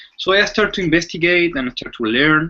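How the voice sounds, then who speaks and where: A man with a Chilean accent talks in a bright, sharp tone. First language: Spanish. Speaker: mentalist. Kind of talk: interview. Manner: halting.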